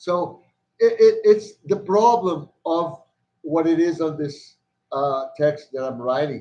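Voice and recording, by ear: Speaking at a slow pace, a man has a fairly high pitch, a dark, mellow tone and ordinary pitch variation.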